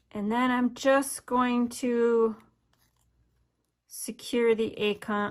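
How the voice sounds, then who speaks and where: A woman with a slight northern US accent speaks at a very slow pace in a fairly high pitch, using monotone, flat intonation. There are long, frequent pauses, and the recording is very clean with a silent background. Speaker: craft demonstrator. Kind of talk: tutorial.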